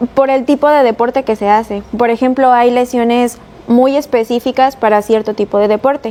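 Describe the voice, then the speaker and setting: The speaker talks at a moderate pace with a Mexican accent, keeping the loudness very even. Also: woman, high pitch for a woman. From Mexico, Veracruz. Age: 20s. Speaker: chiropractor. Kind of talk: interview.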